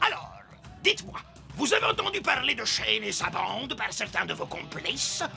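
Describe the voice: Over faint background music, a man performs a cartoonish character voice, pitched high with very wide swings, a bright, sharp tone, vocal fry and a moderate pace.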